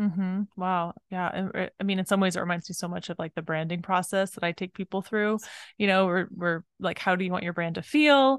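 Heard against a quiet background with a dry, close sound and no echo, a plain, everyday voice moves at a fairly quick pace with ordinary pitch variation. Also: woman, medium pitch for a woman. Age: 40s. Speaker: podcast host and business coach. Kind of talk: interview.

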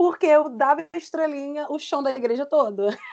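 An animated tone at a fairly quick pace, with ordinary pitch variation. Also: woman. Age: 30s. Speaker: singer and dancer. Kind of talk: casual panel discussion.

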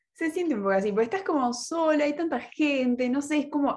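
A woman is talking. She speaks with a Rioplatense accent. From Buenos Aires, Argentina. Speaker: university student podcast host. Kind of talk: casual chat.

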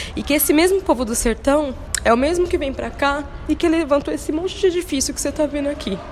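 With a São Paulo accent, a woman speaks at a very fast pace in a high pitch. Background noise is noticeable. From São Paulo city, Brazil. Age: 30s. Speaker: dancer and arts educator. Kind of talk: interview.

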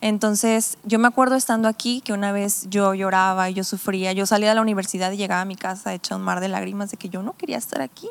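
A woman talks at a very fast pace with hardly any pauses. Her pitch sits in the medium range, and her intonation stays fairly even. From Mexico, Tepic (Nayarit) and Sonora. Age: 20s. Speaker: pastor. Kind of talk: casual chat.

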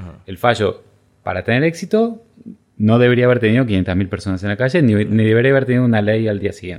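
Speaking at a very fast pace, a man uses medium pitch with ordinary pitch variation. His loudness swings widely. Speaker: legal scholar. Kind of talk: interview. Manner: halting.

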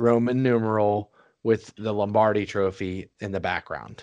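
Against a quiet background, a man with a plain, everyday voice speaks fairly slowly at a fairly low pitch. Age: 30s. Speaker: sports podcast host. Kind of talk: casual chat.

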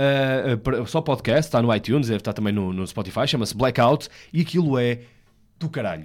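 At a fairly quick pace, a man speaks in a plain, everyday voice with a medium pitch. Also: lively intonation. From northern Portugal, Vila Nova de Gaia. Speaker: radio host. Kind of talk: casual chat.

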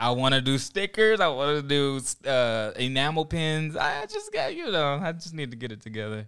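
A man with an ordinary speaking voice talks at a fairly high pitch with lively intonation. He keeps a moderate pace with hardly any pauses. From Oklahoma. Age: 30s. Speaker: graphic designer and church young adult leader. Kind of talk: casual chat.

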